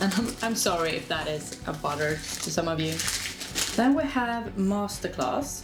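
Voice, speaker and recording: Noticeable background noise and audible room echo surround a woman speaking with a Swedish accent and lively intonation. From Sweden. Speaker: lifestyle vlogger. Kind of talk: casual vlog. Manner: casual, hesitant.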